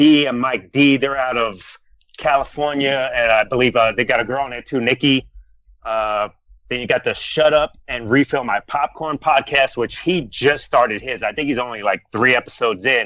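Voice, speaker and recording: In a normal speaking voice, a man with an American accent talks with fairly even intonation. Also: medium pitch for a man, moderate pace. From Florida. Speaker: comedy podcaster.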